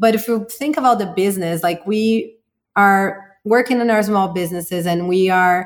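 A woman with a Portuguese accent, lively intonation and a moderate pace. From Brazil. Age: 40s. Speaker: marketing entrepreneur. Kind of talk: interview.

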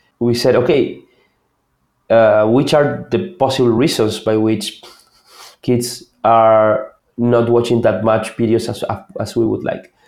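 Speaking with an Argentine accent, a man goes at a fairly slow pace with long, frequent pauses. His medium pitch carries fairly even intonation. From Argentina. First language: Spanish. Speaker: product manager. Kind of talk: interview.

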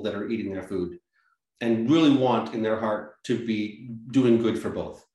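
Audible room echo colors a man's medium-pitched voice, which shows ordinary pitch variation. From Massachusetts, US. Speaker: organic farmer and nonprofit director. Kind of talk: interview.

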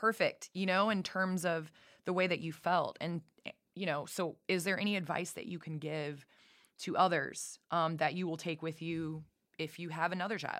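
Recorded very cleanly against a silent background, a woman with an ordinary speaking voice speaks at a moderate pace in a fairly low pitch with fairly even intonation. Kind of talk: casual interview chat. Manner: warm, friendly.

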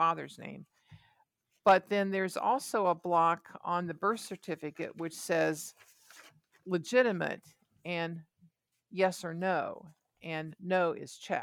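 A woman with an American accent, fairly low-pitched, with fairly even intonation, big swings in loudness, long, frequent pauses and a very clean recording with a silent background. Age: 60s. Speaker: adoptee. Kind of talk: interview. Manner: halting.

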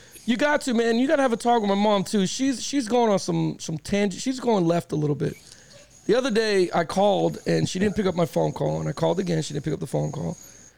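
A man with a high pitch, lively intonation and a very fast pace, over noticeable background noise. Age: 40s. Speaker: sports podcast host. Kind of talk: casual chat. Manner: animated.

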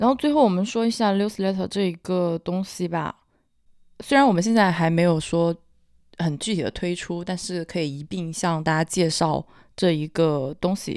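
This woman has a fairly low-pitched voice with ordinary pitch variation. She talks at a moderate pace. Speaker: podcast host, marketing professional. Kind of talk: casual chat.

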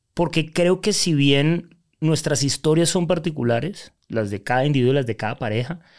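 Recorded very cleanly against a silent background, a man speaks at a fairly high pitch with ordinary pitch variation in a normal speaking voice. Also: moderate pace. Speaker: life coach. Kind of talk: interview.

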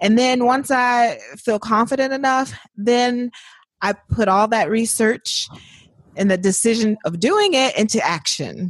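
Here a woman has an unremarkable speaking voice, fairly high in pitch, with ordinary pitch variation and a moderate pace. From Indiana, US Midwest. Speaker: author and writer. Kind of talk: casual interview.

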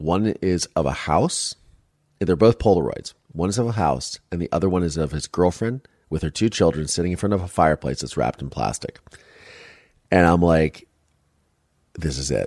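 With a US Midwestern accent, a man speaks at a very deep, low pitch with vocal fry and an animated tone, leaving long, frequent pauses. The recording is very clean with a silent background and a dry, close sound with no echo. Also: ordinary pitch variation, moderate pace. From US Midwest, Ohio. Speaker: podcast host and documentary filmmaker. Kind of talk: interview testimony.

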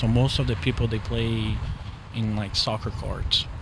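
A man with a Portuguese accent talks at a moderate pace. Room echo is audible, and there is noticeable background noise. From Brazil, São Paulo. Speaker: soccer dad. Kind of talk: casual chat. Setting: brewery.

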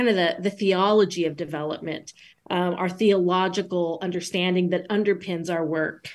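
In a very clean recording with a silent background, a woman speaks at a moderate pace and medium pitch with fairly even intonation, an ordinary speaking voice. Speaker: author, theologian. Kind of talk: interview discussing her book.

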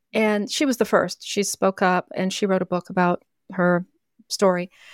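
A woman at medium pitch and moderate pace, a plain, everyday voice. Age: 60s. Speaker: author. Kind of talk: interview.

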